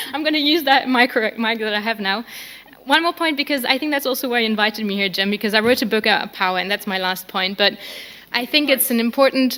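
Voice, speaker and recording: Over noticeable background noise, a woman with a fairly high pitch talks at a fairly quick pace with ordinary pitch variation. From France and Germany. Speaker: policy researcher and author. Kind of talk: panel discussion.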